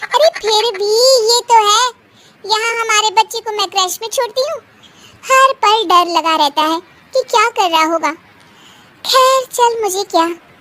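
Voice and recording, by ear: With a dry, close sound and no echo, a woman performs a cartoonish character voice at an extremely high pitch, keeping a moderate pace with ordinary pitch variation and long, frequent pauses.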